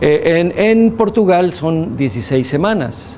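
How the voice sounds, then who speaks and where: Very slowly and with very wide pitch swings, a man speaks through audible room echo and noticeable background noise. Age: 60s. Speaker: physician and bioethics lecturer. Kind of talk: lecture with class discussion.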